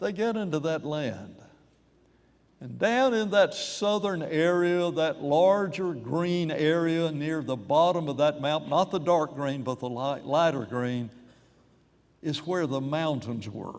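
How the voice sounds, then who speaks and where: A man speaks very slowly at a fairly high pitch, with lively intonation. Room echo is audible. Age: 80s+. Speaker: preacher. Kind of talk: sermon.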